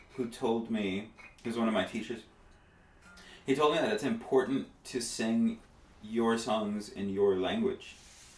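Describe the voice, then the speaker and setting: With music in the background, a man speaks at a fairly slow pace and a medium pitch, using ordinary pitch variation and long, frequent pauses. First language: Spanish. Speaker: musician. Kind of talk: casual chat. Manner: halting.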